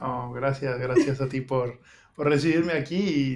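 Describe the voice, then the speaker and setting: Delivered at a fairly slow pace, an unremarkable speaking voice carries fairly even intonation. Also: man. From Mexico City. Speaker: migrant interviewee. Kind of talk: interview.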